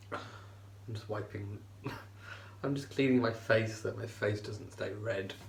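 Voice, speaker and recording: Over noticeable background noise, a man speaks at a moderate pace in a fairly low, flat monotone, with long, frequent pauses. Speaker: vlogger. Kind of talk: casual talk to camera.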